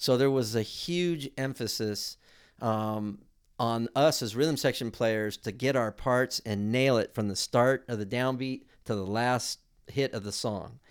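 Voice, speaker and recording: A plain, everyday voice from a man with an American accent, medium in pitch, with ordinary pitch variation and a fairly slow pace. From US West Coast, South Bay Los Angeles. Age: 60s. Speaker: musician and music school owner. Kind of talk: interview.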